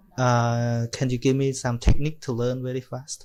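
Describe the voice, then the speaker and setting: A man's medium-pitched voice with a Cambodian accent. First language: Khmer. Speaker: Buddhist monk. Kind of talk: casual chat. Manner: halting.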